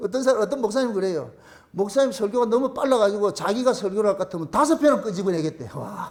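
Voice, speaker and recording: A loud man at a very fast pace, high-pitched for a man, with lively intonation and noticeable background noise. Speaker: pastor. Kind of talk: sermon.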